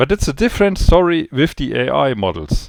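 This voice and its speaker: Speaking with a non-native accent at a fairly slow pace, a man is heard in a very clean recording with a silent background, dry and close with no echo. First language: not English. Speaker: trading educator. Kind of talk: spontaneous video briefing. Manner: halting, searching for words.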